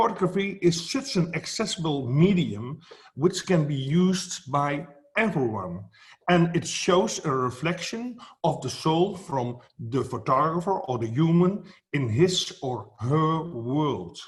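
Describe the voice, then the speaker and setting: A man with a Dutch accent speaks at a fairly slow pace, his fairly high voice moving in a lively intonation. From Netherlands. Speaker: photography educator. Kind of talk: speech at an online event. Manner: halting, many fillers.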